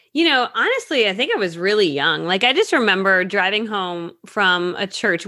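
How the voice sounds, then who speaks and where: A woman's bright, sharp, medium-pitched voice with an American accent, lively intonation and a fairly quick pace. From Connecticut, US. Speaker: network marketing coach. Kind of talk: interview. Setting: video call.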